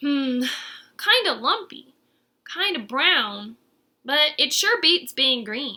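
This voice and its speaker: Using a put-on character voice, a woman speaks at a high pitch and a very slow pace, with long, frequent pauses. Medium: read story.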